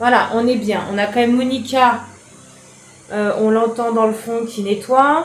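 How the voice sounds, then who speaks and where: Amid noticeable background noise and audible room echo, a woman with a fairly high pitch speaks at a fairly slow pace, with long, frequent pauses and fairly even intonation. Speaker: home organisation vlogger. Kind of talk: casual vlog narration. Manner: chatty, informal.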